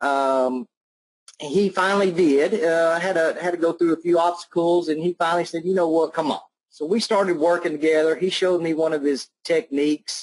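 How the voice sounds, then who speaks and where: A man's high voice at a fairly quick pace, with fairly even intonation and a slight Southern US accent. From Alabama. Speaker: online marketer. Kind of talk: testimonial on webinar. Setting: online webinar call. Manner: casual.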